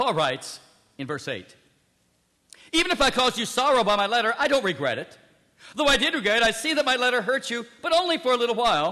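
A man's raised, projected voice, extremely high in pitch and bright and sharp in tone, rushes at a very fast pace with very wide pitch swings and long, frequent pauses. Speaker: preacher. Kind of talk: sermon.

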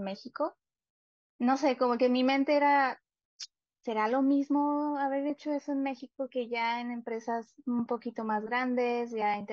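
A woman speaks at a moderate pace with a high pitch and fairly even intonation. The sound is dry with no echo, and the background is quiet. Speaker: guest. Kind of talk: interview answer. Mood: friendly, smiling. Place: home room.

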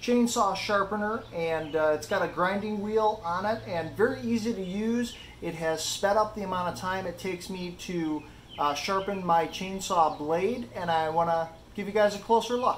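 Speaking at a moderate pace, a man with a high pitch is heard over light background noise. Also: ordinary pitch variation. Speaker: DIY channel host. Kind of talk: tutorial. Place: garage. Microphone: phone near.

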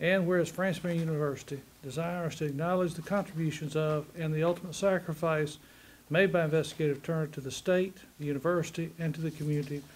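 Talking at a very fast pace, a man keeps a monotone, flat intonation. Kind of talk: formal reading of a resolution. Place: meeting room.

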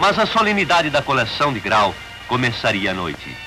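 Pitch swings very widely as a man talks at a moderate pace, with music in the background. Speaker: narrator. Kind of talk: documentary narration. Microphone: old recording.

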